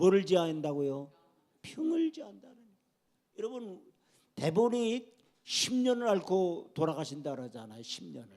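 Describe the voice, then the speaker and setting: A man with a high pitch and a dark, mellow tone speaks at a fairly slow pace, leaving long, frequent pauses. His pitch swings very widely and his loudness rises and falls sharply. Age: 60s. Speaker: pastor. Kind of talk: sermon.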